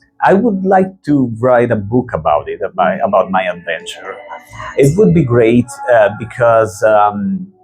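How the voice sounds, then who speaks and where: A man's medium-pitched voice at a fairly slow pace, with very wide pitch swings over background music. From Italy. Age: 40s. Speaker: rock guitarist. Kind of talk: interview. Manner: halting.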